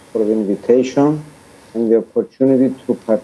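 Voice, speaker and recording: At a medium pitch and moderate pace, a man talks in a dark, mellow tone with ordinary pitch variation. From Cyprus, Larnaca. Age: 50s. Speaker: poet. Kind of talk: formal remarks. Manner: halting.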